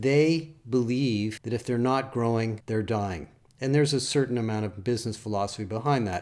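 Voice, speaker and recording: This man has a plain, everyday voice at medium pitch, talking at a moderate pace with ordinary pitch variation. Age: 60s. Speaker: industry analyst. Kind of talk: solo podcast commentary.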